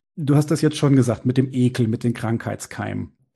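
A man talks at medium pitch with ordinary pitch variation. His dark, mellow tone has vocal fry. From Bavaria, small town. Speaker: podcast host. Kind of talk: interview.

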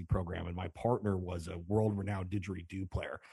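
Over a quiet background, a man with an American accent speaks at a very deep, low pitch in a dark, mellow tone, somewhat breathy, with fairly even intonation. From Chicago. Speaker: caller, musician and DJ. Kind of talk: call-in chat.

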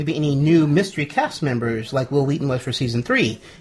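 A man is speaking with a fairly high pitch that varies in an ordinary way. Noticeable background noise can be heard. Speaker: podcast host. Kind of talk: casual chat. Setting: live party at home studio.

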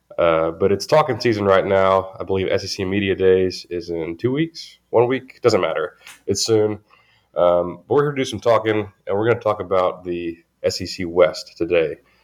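A man in a Southern US accent speaks at a moderate pace against a quiet background. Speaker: sports podcast host. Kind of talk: casual chat.

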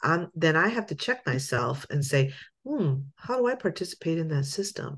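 Against a quiet background, a woman with a fairly low, somewhat breathy voice speaks at a moderate pace, her pitch swinging very widely. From Lancaster, Pennsylvania, US; Puerto Rican parents. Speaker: pastor and church ministry director. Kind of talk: casual interview.

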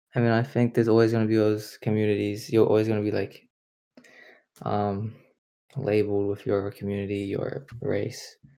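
On a very clean recording with a silent background, a man with a fairly low pitch and a dark, mellow tone talks in a monotone, flat way at a moderate pace with long, frequent pauses. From China, raised in New Zealand from age three. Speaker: student podcast co-host. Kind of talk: casual chat.

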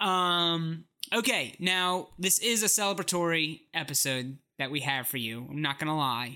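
At a moderate pace, the speaker comes through on a very clean recording with a silent background. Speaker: podcast host. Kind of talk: casual chat.

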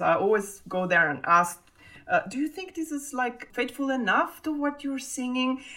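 A woman with an Italian accent, very wide pitch swings and a moderate pace. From Italy. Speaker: double bassist. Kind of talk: interview.

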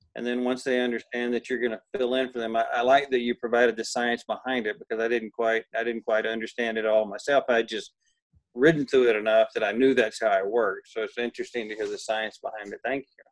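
Talking very fast, a man with a medium pitch keeps a flat, monotone intonation while his loudness swings widely, the sound dry and close with no echo. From Texas. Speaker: horse trainer. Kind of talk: interview.

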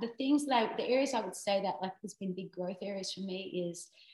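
A woman with a medium-pitched voice that is somewhat breathy. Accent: Australian. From Australia. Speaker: songwriter. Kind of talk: casual chat.

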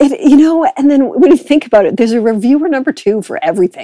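A woman with an American accent, a dark, mellow tone and lively intonation, in a dry, close sound with no echo. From US, Boston. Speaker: associate professor. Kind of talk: interview. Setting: remote call.

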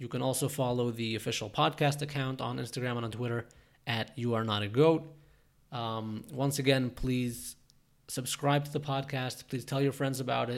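Heard on a very clean recording with a silent background, a man speaks in an ordinary speaking voice at medium pitch and a moderate pace, with fairly even intonation. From Toronto, Canada. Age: 20s. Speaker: podcast host and entrepreneur. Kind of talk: solo podcast monologue.

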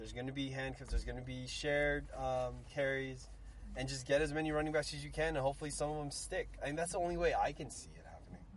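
Talking at a very fast pace, a man shows big swings in loudness against audible room echo. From San Francisco Bay Area (Daly City). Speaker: sports podcast co-host. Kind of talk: casual chat.

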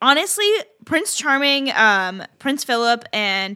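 Bright, sharp tone in a raised, projected woman's voice. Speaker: podcast co-host. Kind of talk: casual chat.

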